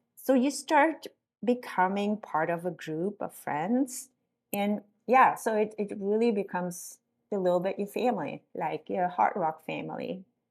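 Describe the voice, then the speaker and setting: In a very clean recording with a silent background, a woman talks at a fairly slow pace in an ordinary speaking voice, her pitch medium and her intonation lively. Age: 60s. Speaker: ultrarunner. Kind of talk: interview answer.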